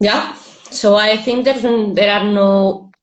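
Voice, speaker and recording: Room echo can be heard around a woman whose voice is fairly high. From Spain. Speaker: interviewer. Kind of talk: interview. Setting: Instagram live video call.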